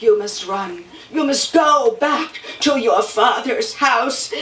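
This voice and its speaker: A woman's high, put-on character voice at a very slow pace, with a slight echo. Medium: stage play.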